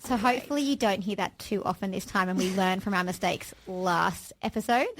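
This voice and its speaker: Fairly brisk speech from a woman with an Australian accent. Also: medium pitch for a woman, ordinary pitch variation. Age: 30s. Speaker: podcast co-host, aspiring actor. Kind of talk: casual chat. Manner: fast.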